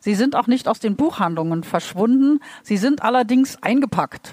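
A woman talks at a moderate pace. Her voice is high in pitch, with a dark, mellow tone. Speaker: literary translator. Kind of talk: live interpretation. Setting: stage with audience. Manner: halting.

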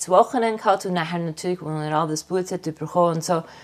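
Her voice sits at a medium pitch. The woman moves along at a fairly quick pace. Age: 50s. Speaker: artist. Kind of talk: interview. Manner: halting.

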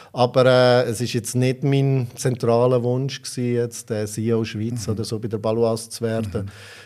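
A man's dark, mellow voice in a flat monotone, with hardly any pauses. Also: medium pitch for a man, moderate pace. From Switzerland, Aargau. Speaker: insurance executive. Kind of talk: interview. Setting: studio.

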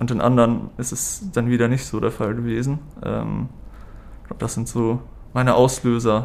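A man talks at a moderate pace and a medium pitch. His delivery is monotone and flat, with long, frequent pauses. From northern Germany, Hamburg. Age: 30s. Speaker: patient, student. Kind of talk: interview. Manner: halting, many fillers.

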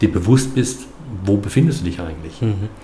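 Amid noticeable background noise and audible room echo, a man with a fairly low pitch speaks at a moderate pace with ordinary pitch variation. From Baden, Karlsruhe area. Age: 50s. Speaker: filmmaker, former aviation worker. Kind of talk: podcast interview. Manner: halting, many fillers and repetitions.

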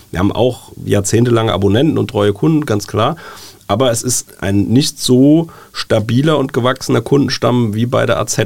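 A man speaks at a medium pitch with vocal fry. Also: ordinary pitch variation, moderate pace. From Germany, Wiesbaden (Hesse). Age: 40s. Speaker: newspaper editor-in-chief. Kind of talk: casual interview. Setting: studio.

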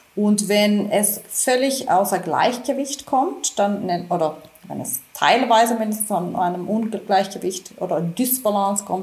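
Over noticeable background noise, a woman speaks fairly slowly at a medium pitch with lively intonation. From Finland. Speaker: physician. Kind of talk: interview. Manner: halting, many repetitions.

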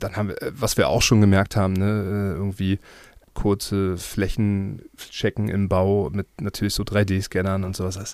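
A man at a fairly low pitch and fairly slow pace, monotone and flat in intonation, in a very clean recording over a silent background. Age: 30s. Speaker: property developer. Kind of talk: interview. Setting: studio. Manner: hesitant, many fillers.

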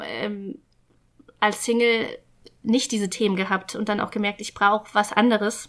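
Delivery moves at a middling speed. Pitch shifts only a little throughout. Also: woman. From rural Germany. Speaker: guest telling her life story. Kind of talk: casual interview. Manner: halting, with many fillers.

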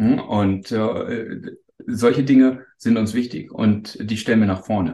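At a very slow pace, a man of medium pitch talks in a dark, mellow tone with fairly even intonation. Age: 40s. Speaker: startup executive. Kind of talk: interview. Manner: halting.

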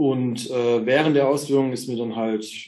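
A man at a moderate pace, in a monotone with flat intonation. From Germany, eastern Hesse. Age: 30s. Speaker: orthopedic technician. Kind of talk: casual chat.

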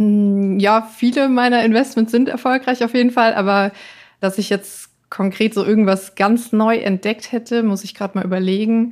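On a very clean recording with a silent background, a woman with a fairly high pitch uses a normal speaking voice at a moderate pace and fairly even intonation. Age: 30s. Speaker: finance blogger. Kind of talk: interview.

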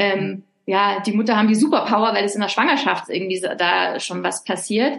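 Speaking at a moderate pace, a woman with a medium-pitched voice shows some vocal fry. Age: 40s. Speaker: author. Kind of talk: interview. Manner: hesitant with fillers.

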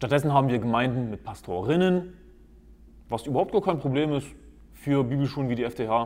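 Speaking at a fairly quick pace but with long, frequent pauses, a man holds a medium pitch with ordinary pitch variation. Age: 20s. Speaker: podcast host, lay preacher. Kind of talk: monologue, preaching style. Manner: emphatic.

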